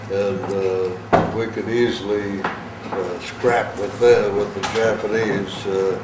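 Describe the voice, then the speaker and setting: Over noticeable background noise and audible room echo, a man with an American accent speaks at a fairly low pitch with fairly even intonation. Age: 80s+. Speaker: war veteran. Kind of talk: talk to a school class. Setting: classroom. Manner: halting, many fillers.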